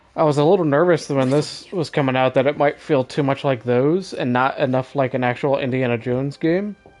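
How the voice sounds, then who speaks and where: A man's fairly high voice at a fairly quick pace, with ordinary pitch variation, hardly any pauses and music in the background. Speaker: video game streamer. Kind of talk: gameplay live stream commentary. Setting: live stream.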